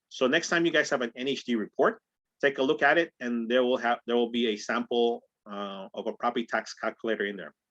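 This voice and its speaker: The background is quiet. A man speaks in a bright, sharp tone with ordinary pitch variation. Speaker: real estate trainer. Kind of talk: training call. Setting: group call. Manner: fast. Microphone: video call.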